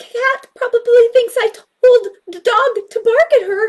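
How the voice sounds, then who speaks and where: Using a squeaky, put-on character voice at extremely high pitch, a woman speaks at a fairly slow pace. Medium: read story.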